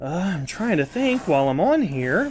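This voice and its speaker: A man speaks loudly at a moderate pace with very wide pitch swings, captured in a very clean recording with a silent background. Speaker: camcorder hobbyist youtuber. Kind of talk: tutorial. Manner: casual, halting with fillers.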